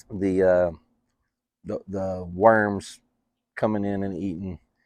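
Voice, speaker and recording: In a West Texas accent, a man talks at a fairly low pitch with monotone, flat intonation and a dry, close sound with no echo. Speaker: farmer and product dealer. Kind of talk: interview. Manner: halting, many fillers.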